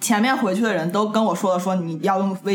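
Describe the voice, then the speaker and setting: Very fast speech over music in the background. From Tianjin, China. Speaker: podcast co-host. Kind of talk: casual chat.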